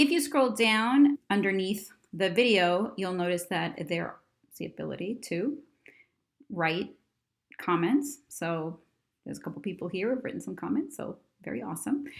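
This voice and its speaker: Her tone animated, a woman swings widely in pitch and loudness, with vocal fry and long, frequent pauses. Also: medium pitch for a woman. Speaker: educational technology company co-founder. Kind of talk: tutorial. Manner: fast; casual, animated.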